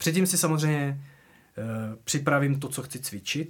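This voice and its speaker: Recorded very cleanly against a silent background, a man speaks at a medium pitch and moderate pace. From Moravian Wallachia, Czechia. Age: 40s. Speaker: drummer. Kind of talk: casual interview chat. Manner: halting, many fillers and restarts.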